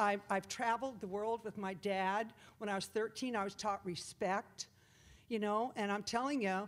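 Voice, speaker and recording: At medium pitch, a woman talks at a moderate pace. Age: 60s. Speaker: public commenter at school board meeting. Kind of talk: public comment speech. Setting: public meeting room with audience. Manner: animated.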